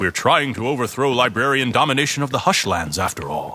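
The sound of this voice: In a put-on character voice, a man talks fairly quickly at medium pitch, bright and sharp with a slightly husky edge and big pitch swings.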